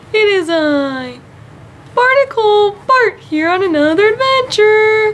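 A put-on character voice at an extremely high pitch and fairly slow pace, with clear background noise. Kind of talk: comic web sketch acting. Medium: comedy sketch. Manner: cheerful, naive, wondering.

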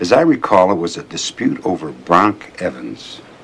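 A man does a put-on character voice, low in pitch, fairly bright in tone, with vocal fry and big pitch swings. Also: moderate pace.

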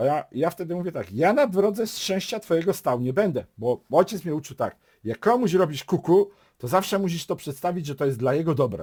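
The recording is very clean, with a silent background. A man talks fairly quickly at a high pitch with lively intonation. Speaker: YouTuber giving relationship advice. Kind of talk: casual monologue vlog.

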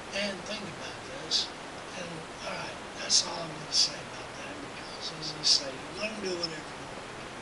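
A man at a moderate pace, with loud noise in the background. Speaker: vlogger. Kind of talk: video response to camera. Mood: earnest, blunt, swearing. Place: workshop. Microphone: webcam.

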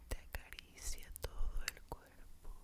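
Whispering, a woman speaks at a very slow pace. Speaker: ASMR creator. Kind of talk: guided relaxation whisper. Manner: soft, close-mic ASMR murmur. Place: home room. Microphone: studio mic.

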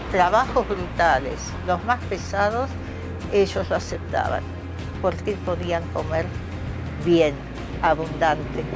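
Over clear background music, a woman talks at a very slow pace with long, frequent pauses. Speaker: writer. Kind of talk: interview answer. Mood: reflective, proud, animated gestures. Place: garden.

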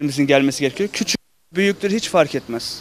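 The recording of a man has a dry sound with no echo and light background noise. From Turkey (Sivas roots); Turkey. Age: young. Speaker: semah teacher at a cemevi. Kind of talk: interview. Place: street. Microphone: handheld.

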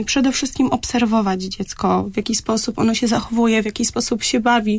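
A woman's ordinary speaking voice at fairly high pitch, with fairly even intonation and a moderate pace. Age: young. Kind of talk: radio interview. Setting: radio studio. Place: studio.

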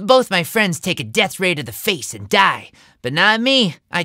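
Lively intonation in natural-voiced reading aloud

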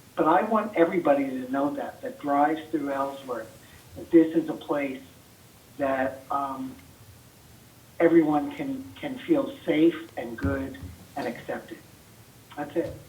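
The speech comes at a fairly slow pace with long, frequent pauses, ordinary pitch variation and big swings in loudness, amid noticeable background noise and audible room echo. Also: man, fairly high pitch for a man. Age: 60s. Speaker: community member speaking at public meeting. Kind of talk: public comment. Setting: city council meeting.

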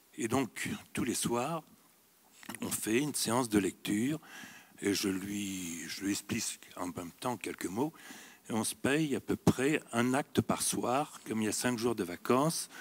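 Long, frequent pauses break up a man's very slow speech. The intonation he uses is lively. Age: 70s. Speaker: audience member. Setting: stage with audience. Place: hall.

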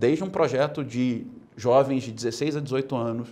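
The man's tone is dark and mellow. His pitch varies in an ordinary way. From Brazil. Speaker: political movement leader; interview guest. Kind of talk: interview. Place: studio. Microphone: lapel.

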